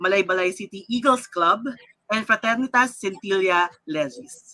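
A woman with a Filipino accent speaks at a medium pitch and a moderate pace. Her tone is bright and sharp, and her intonation lively. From Philippines. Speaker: lawyer and show host. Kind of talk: live-streamed panel discussion. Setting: live online broadcast.

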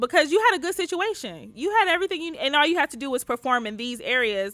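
With an American accent, a woman talks very fast in a bright, sharp tone, her pitch swinging very widely. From US Midwest, Detroit. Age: 20s. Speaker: podcast co-host, guest. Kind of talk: casual chat.

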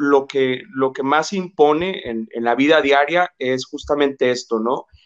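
At a fairly high pitch and fairly slow pace, a man speaks in an ordinary speaking voice. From Mexico, Jalisco (Ciudad Guzmán), moved to Monterrey at 12. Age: 30s. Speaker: psychologist and labor relations specialist. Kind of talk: interview conversation.

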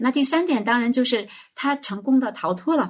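Very wide pitch swings run through this somewhat breathy voice. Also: woman. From China, small county town. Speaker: children's educator. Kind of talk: casual chat.

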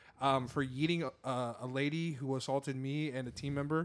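A man with an American accent and a normal speaking voice talks at a fairly quick pace with fairly high pitch and ordinary pitch variation, recorded very cleanly against a silent background. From Seattle, US Pacific Northwest. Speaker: podcast co-host. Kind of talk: casual chat.

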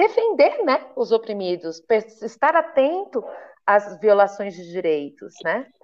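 A woman's very slow speech rises and falls in very wide pitch swings. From Brazil, interior of São Paulo state. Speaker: human rights activist and lawyer. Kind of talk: interview conversation. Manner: casual, colloquial.

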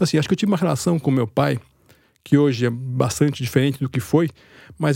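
A man's fairly high-pitched, somewhat breathy voice with a dark, mellow tone and ordinary pitch variation, on a very clean recording with a silent background. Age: 50s. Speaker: writer and editor. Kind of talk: interview.

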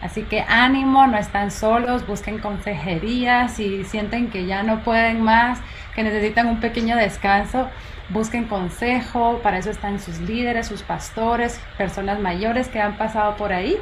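Over noticeable background noise and audible room echo, a woman talks at a fairly slow pace with a fairly high pitch and fairly even intonation. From Guatemala. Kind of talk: interview.

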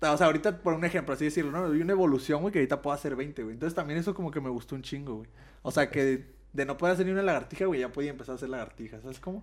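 A very fast-talking man with a fairly high pitch and ordinary pitch variation, on a very clean recording with a silent background. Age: 20s. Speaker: martial artist. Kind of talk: casual chat.

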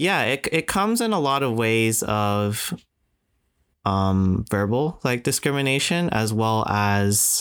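The speaker talks at a very slow pace with a Canadian accent. The recording is very clean, with a silent background. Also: man. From Canada. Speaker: podcast co-host. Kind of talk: casual chat.

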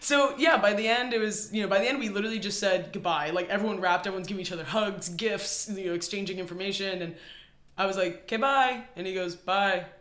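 Amid noticeable background noise and audible room echo, a man talks very fast at a high pitch, with ordinary pitch variation. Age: 20s. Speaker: cinematographer. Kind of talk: casual chat.

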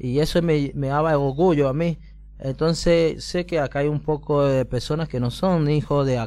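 The speaker is a man with a fairly high pitch. He keeps a moderate pace and fairly even intonation. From Colombia, Pacific coast (Buenaventura). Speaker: migrant guest on community radio. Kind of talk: testimony. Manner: halting.

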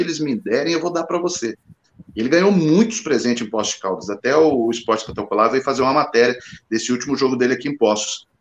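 Talking at a very fast pace, a man uses a medium pitch with ordinary variation. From Guarujá, São Paulo state. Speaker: goalkeeper coach. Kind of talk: casual chat.

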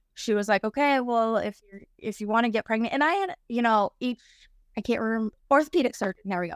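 At a fairly quick pace and with ordinary pitch variation, the speaker has an unremarkable speaking voice in a very clean recording with a silent background and a dry, close sound with no echo. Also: woman. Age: 30s. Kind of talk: personal storytelling interview. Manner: casual, with frequent fillers like um.

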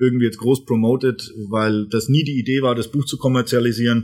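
At a fairly quick pace, a man delivers his lines at a medium pitch in a monotone, flat intonation. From Franconia, Germany (Erlangen). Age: 30s. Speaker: brand management coach and author. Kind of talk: casual interview. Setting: studio.

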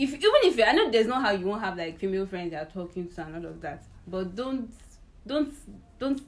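A woman talks at a very fast pace in a medium pitch, her intonation lively and her loudness swinging widely, with noticeable background noise behind her. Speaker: podcast host. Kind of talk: casual chat.

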